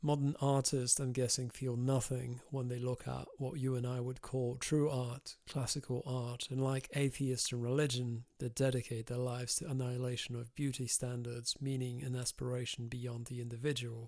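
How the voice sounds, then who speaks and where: A man of medium pitch talks at a moderate pace in a monotone, flat intonation with hardly any pauses. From Europe. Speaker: podcast host. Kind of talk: interview questions. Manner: measured, articulate.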